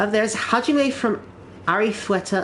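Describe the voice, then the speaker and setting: A woman with a British accent talks over noticeable background noise. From Britain. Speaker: gaming streamer. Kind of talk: casual live-stream chat while gaming. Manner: halting, frequent repetitions and fillers.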